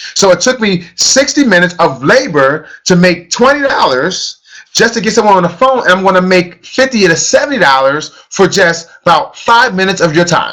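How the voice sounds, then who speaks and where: A man's raised, projected, high-pitched voice with an American accent, animated tone, lively intonation and a fairly quick pace. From US, grew up in housing projects. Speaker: network marketing trainer. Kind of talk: motivational training session. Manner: fast.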